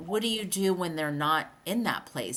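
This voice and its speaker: A woman with an ordinary speaking voice and fairly low pitch talks at a moderate pace with lively intonation. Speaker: podcast co-host. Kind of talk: casual podcast chat.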